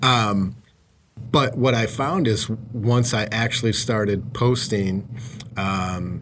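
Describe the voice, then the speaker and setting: This man has a normal speaking voice at a medium pitch. He moves at a fairly slow pace with ordinary pitch variation. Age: 40s. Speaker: podcast host, mortgage branch manager. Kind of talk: casual interview chat.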